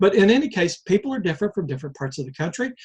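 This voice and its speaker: A man with an American accent talks in a somewhat breathy voice against a quiet background. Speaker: life-lessons vlogger. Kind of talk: reflective monologue. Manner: slow, deliberate pace; halting, with fillers and repeats.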